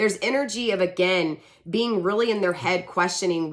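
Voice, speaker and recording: A woman with a medium pitch speaks in a bright, sharp tone with ordinary pitch variation. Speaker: tarot reader. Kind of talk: tarot reading monologue. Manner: stumbling over words; casual, conversational.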